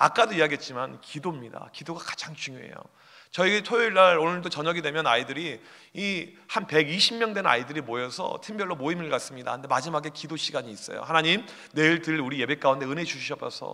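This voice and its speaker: A man's bright, sharp, fairly high voice with lively intonation at a very fast pace. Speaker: youth pastor. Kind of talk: conference talk. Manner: animated.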